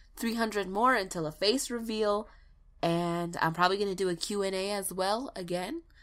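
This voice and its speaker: Her voice is medium in pitch for a woman, bright and sharp in tone, and moves at a moderate pace. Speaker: YouTube narrator of ghost stories. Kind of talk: casual outro to viewers. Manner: casual, chatty.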